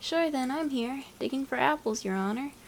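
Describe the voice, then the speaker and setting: Using a put-on character voice, a woman speaks high at a moderate pace. Background noise is clearly heard. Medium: read story. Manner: hesitant, deferential.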